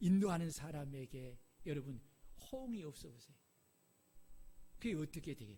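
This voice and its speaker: A man's fairly high, somewhat breathy voice with a dark, mellow tone, lively intonation, moderate pace and long, frequent pauses. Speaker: pastor. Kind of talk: sermon. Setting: church. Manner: animated.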